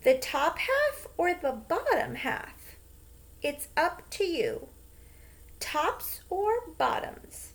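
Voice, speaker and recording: Using a put-on character voice, a woman speaks at a very slow pace with extremely high pitch and very wide pitch swings. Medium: read story. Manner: friendly, smooth-talking.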